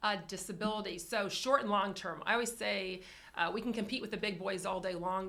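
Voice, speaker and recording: The speech moves at a very fast pace. Room echo is audible. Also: woman. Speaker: insurance carrier representative. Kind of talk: business presentation.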